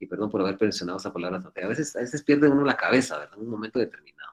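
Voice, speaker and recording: A man speaks with ordinary pitch variation. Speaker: law professor. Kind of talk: lecture. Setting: video call. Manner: fast.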